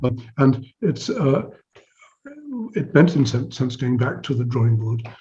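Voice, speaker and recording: At a fairly slow pace, a man talks in a dark, mellow tone at medium pitch, with vocal fry and ordinary pitch variation. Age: 70s. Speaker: psychology professor. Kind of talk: interview conversation. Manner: halting, with frequent restarts and repetitions.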